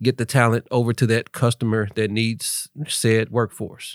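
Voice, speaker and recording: An unremarkable speaking voice, delivered at a moderate pace. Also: man. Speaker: entrepreneur, workforce training founder. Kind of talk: casual interview chat. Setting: studio.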